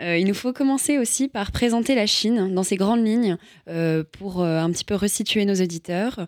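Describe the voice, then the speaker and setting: The sound is dry and close with no echo. A woman talks at a fairly slow pace, medium pitch, ordinary pitch variation and very even loudness. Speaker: radio host. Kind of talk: interview.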